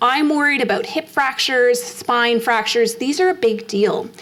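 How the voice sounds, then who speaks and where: With noticeable background noise behind her, a woman speaks at a high pitch in a Canadian accent. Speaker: endocrinologist giving a health talk. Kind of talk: public health lecture. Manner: fast; animated.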